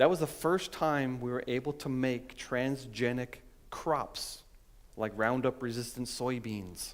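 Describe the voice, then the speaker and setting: In an ordinary speaking voice, a man talks at a fairly slow pace and medium pitch with ordinary pitch variation, on a very clean recording with a silent background. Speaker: scientist and creationist speaker. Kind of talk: conference talk.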